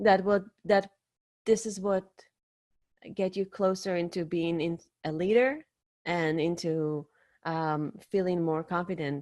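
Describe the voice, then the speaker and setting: On a very clean recording with a silent background, a woman with a non-native accent speaks at a fairly slow pace with long, frequent pauses. Her pitch is fairly low, with ordinary pitch variation. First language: not English. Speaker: podcast host and dating coach, interview guest. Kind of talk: interview, advice-giving. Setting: live video stream.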